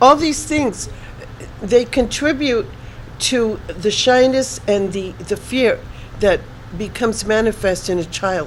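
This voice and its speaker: A woman with a fairly high pitch speaks very slowly with lively intonation and long, frequent pauses. Noticeable background noise is present. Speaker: spiritual reader guest. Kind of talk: interview.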